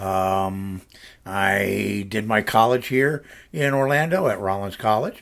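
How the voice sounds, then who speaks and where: A man with an American accent speaks in an unremarkable speaking voice, fairly low in pitch, with ordinary pitch variation. The recording is very clean, with a silent background. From US South, Central Florida. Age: 60s. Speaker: vlogger, retired video producer. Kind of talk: casual personal vlog. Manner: relaxed, with many fillers.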